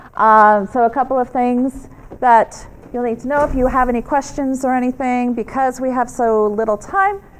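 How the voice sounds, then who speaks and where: With a New York accent, a woman talks in a high pitch with ordinary pitch variation. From US, New York. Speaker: media trainer. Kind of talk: workshop presentation. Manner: fast; animated.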